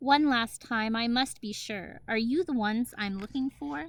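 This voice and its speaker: This is a soft-spoken, put-on character voice. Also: woman, fairly high pitch for a woman, moderate pace. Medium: read story. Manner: soft and sweet.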